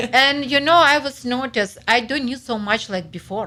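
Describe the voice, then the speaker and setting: With a Ukrainian accent, a woman talks at a moderate pace in a bright, sharp tone. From Ukraine. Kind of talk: interview answer.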